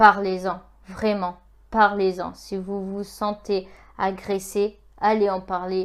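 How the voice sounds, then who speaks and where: A woman's medium-pitched voice at a very slow pace, in a monotone, flat delivery. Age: 20s. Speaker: YouTuber. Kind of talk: vlog monologue. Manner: halting, many hesitations; earnest. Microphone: iPhone 6.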